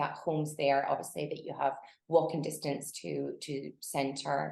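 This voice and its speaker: With a Scottish accent, a woman speaks with vocal fry. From Scotland. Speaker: realtor. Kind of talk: interview. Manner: hesitant, many fillers.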